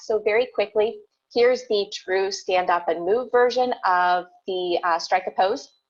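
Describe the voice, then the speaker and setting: The speaker is a woman. Her voice shows ordinary pitch variation. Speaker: teacher presenter. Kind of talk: conference presentation. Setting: virtual conference video. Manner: fast.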